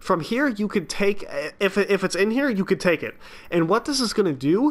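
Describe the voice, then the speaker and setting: A man at a very fast pace, with lively intonation. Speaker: gaming YouTuber. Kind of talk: game guide narration. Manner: casual.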